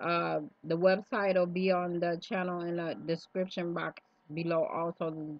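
A woman speaks at a fairly slow pace and fairly low pitch in a monotone, flat intonation, the sound dry with no echo. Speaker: vlogger. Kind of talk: casual vlog chat. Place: home room. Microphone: webcam.

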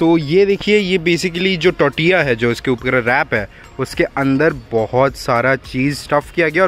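The sound is dry with no echo as a man talks at a fairly slow pace over faint background music. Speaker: food vlogger. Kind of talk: casual food review vlog. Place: street.

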